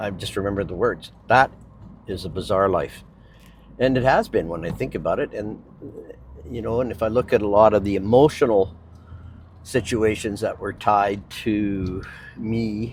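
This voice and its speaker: A man with a Canadian accent speaks at a moderate pace and a fairly low pitch. His pitch varies in an ordinary way, and he takes long, frequent pauses. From Vancouver Island, Canada. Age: 60s. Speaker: real estate agent and vlogger. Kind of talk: casual personal vlog. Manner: hesitant, many fillers.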